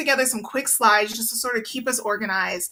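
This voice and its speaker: Noticeable noise runs in the background. Over it, a woman speaks at a very fast pace. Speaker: PR agency owner. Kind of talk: webinar presentation.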